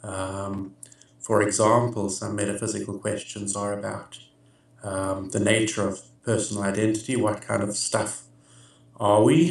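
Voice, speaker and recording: Speaking at a moderate pace with long, frequent pauses, a man with an American accent talks in a flat monotone at a fairly low pitch, with audible room echo around him. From South Africa. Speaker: philosopher. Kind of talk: interview answers. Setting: video call. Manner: hesitant, many filler words.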